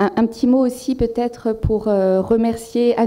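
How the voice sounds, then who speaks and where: A woman's dark, mellow tone carries fairly even intonation. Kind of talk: formal thanks speech. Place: hall. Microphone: podium.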